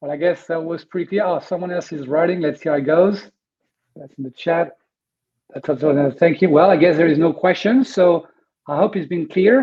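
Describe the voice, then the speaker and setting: In a strong French accent, a man with a high voice talks fairly quickly, his pitch varying in an ordinary way while his loudness swings widely. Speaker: webinar host, media business consultant. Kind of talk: webinar presentation. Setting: online webinar. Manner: hesitant, many fillers.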